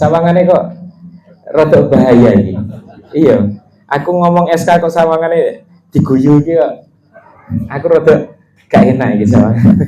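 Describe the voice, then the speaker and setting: A man's fairly high voice with a Javanese accent, lively intonation, a moderate pace, long and frequent pauses, and audible room echo. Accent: Javanese-accented Indonesian. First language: Javanese (speaking Indonesian). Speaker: religious teacher. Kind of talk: religious study lesson. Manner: casual, mixing Javanese and Indonesian.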